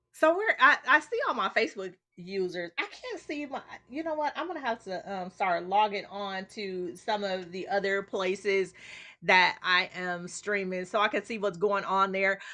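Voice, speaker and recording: Shouting loudly, a woman speaks at a moderate pace and medium pitch in a bright, sharp, animated and excited tone, with lively intonation. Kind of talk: casual livestream chat. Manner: animated, excited yelling.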